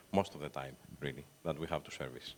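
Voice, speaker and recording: A man with a Greek accent and lively intonation. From Greece, Athens. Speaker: talent agent for film composers. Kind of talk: panel discussion. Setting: stage with audience.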